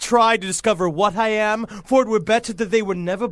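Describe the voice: Fairly even intonation in plain reading aloud.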